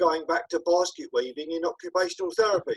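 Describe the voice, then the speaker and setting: At a moderate pace, a man talks with a southern English accent. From southeast England. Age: 60s. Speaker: peer support worker and author. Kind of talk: interview. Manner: hesitant, many fillers.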